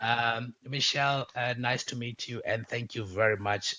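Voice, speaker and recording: With a South African accent, a man speaks at a moderate pace and medium pitch, his pitch varying in an ordinary way. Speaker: podcast host. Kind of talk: casual interview chat. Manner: many fillers and hesitations.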